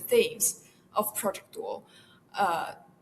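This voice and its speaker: A woman with a Chinese accent speaks at a moderate pace. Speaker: university student research assistant. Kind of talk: interview. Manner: halting, many fillers.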